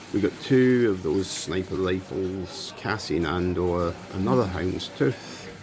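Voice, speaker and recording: Noticeable background noise sits behind a man with a Scottish accent whose very deep, low pitch carries lively intonation. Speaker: YouTuber, card unboxing. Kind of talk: casual unboxing commentary. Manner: slow.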